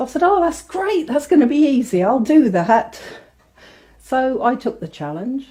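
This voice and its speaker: With an English Midlands accent, a woman speaks in a dark, mellow tone, her pitch swinging very widely. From England, Northamptonshire. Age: 50s. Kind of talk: testimony.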